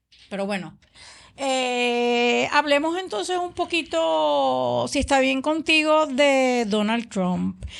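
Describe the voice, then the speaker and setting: Over a quiet background, the voice moves at a very slow pace with very wide pitch swings. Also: woman. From Puerto Rico. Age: 60s. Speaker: political podcast co-host. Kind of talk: political discussion podcast.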